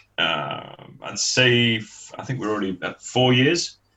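With a Mancunian accent, a man speaks at a very slow pace. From northern England, Manchester. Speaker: sports association chairman. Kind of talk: interview.

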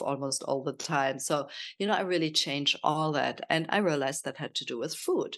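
A woman with a German accent speaks at a moderate pace in a very deep, low voice with ordinary pitch variation against a quiet background. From Germany. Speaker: health and nutrition coach. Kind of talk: casual interview.

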